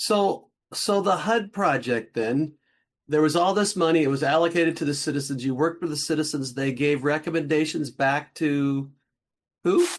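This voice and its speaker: A man speaks in a plain, everyday voice at a fairly high pitch with ordinary pitch variation. His pace is moderate and the background is quiet. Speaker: guest interviewer. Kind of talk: interview questions.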